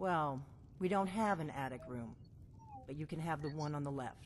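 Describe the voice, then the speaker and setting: A put-on character voice at a low-to-middle pitch speaks at a moderate pace over clear background noise. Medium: video game. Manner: guarded, brisk, matter-of-fact.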